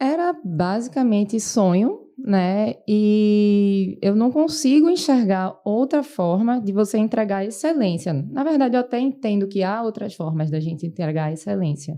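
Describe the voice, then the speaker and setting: A woman with a dark, mellow tone speaks at a fairly slow pace with hardly any pauses. Her pitch swings very widely. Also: medium pitch for a woman. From Brazil, Recife (Pernambuco). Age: 30s. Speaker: medical resident physician. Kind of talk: podcast interview.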